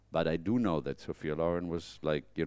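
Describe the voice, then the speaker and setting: A man with a German accent speaks at a very fast pace. His very deep, low voice carries vocal fry and ordinary pitch variation. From Germany. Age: 50s. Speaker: fashion photographer. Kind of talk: interview. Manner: halting.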